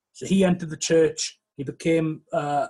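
In a Welsh accent, a man speaks at a moderate pace with a fairly high pitch. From West Wales. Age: 30s. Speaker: historian and author. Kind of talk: interview. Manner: hesitant, many fillers.

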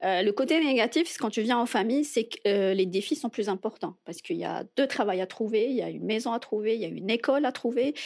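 A woman with a plain, everyday voice and a fairly high pitch talks at a fairly quick pace with lively intonation and hardly any pauses, on a very clean recording with a silent background. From Algeria, Algiers. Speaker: immigrant guest. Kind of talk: casual interview.

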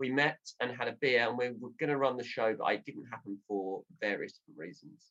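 A man with a southern English accent speaks at a moderate pace in a medium-pitched voice, his tone bright and sharp with ordinary pitch variation. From Southend, Essex, England. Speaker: radio presenter and comedian. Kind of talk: comedy panel show chat. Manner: slips into radio-presenter delivery.

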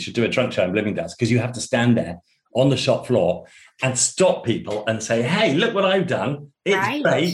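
The speaker has an English accent and vocal fry. The pace is fairly quick, with very wide pitch swings. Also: man. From England, Suffolk. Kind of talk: casual interview. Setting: remote call.

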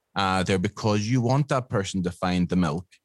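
A man with a Northern Irish accent, fairly low pitch and ordinary pitch variation, against a quiet background. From Northern Ireland. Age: 50s. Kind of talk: interview.

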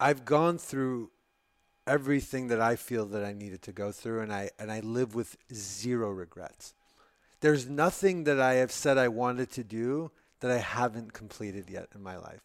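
In a very clean recording with a silent background, a man talks in an ordinary speaking voice at a moderate pace, with ordinary pitch variation and big swings in loudness. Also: medium pitch for a man. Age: 30s. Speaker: entrepreneur, brain surgery patient. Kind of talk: casual interview.

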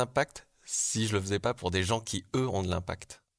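The recording is very clean with a silent background as a man talks. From southwestern France (Bergerac). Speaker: art director. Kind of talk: personal testimony. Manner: hesitant, with fillers.

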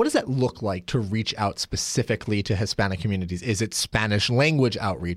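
Fairly low in pitch, a man with a Pacific Northwest accent speaks at a fairly quick pace with ordinary pitch variation. The recording is very clean with a silent background and a dry, close sound with no echo. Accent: Pacific Northwest American English. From Oregon. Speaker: podcast host. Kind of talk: interview.

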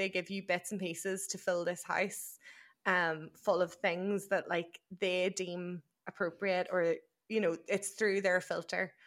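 On a very clean recording with a silent background, a woman speaks with an Irish accent at medium pitch. Her delivery is a flat monotone at a fairly slow pace. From Ireland, near County Louth. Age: 20s. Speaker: podcast co-host. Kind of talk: casual chat.

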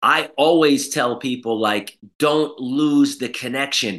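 A man speaks in a bright, sharp tone with an American accent. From New York City. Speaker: school founder and entrepreneur. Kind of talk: interview, personal story. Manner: halting, many fillers and repetitions.

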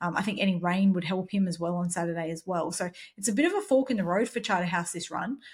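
With an Australian accent, a somewhat breathy woman talks at a very fast pace with ordinary pitch variation. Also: medium pitch for a woman. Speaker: horse racing podcast co-host. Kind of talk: casual chat.

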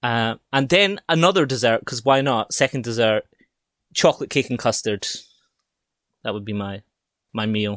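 In a very clean recording with a silent background and dry, close sound with no echo, a man with a Scottish accent talks at a moderate pace in a medium pitch, his intonation lively and his speech marked by long, frequent pauses. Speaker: podcast guest. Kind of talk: casual chat.

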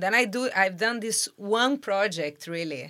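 Her tone bright and sharp, a woman with a Portuguese accent speaks at a medium pitch with lively intonation. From Brazil. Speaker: photographer and art director. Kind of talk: interview. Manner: hesitant, many fillers.

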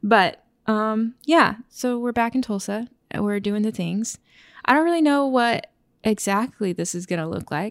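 A woman with an American accent speaks fairly slowly in a plain, everyday voice, fairly high in pitch with lively intonation, on a very clean recording with a silent background. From Oklahoma, small town. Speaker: podcast co-host. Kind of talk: casual chat.

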